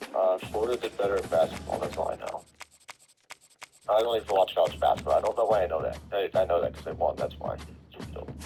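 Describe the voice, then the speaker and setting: Delivery is very fast yet broken by long, frequent pauses, with big swings in loudness and music in the background. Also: man. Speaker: gamer. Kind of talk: casual chat.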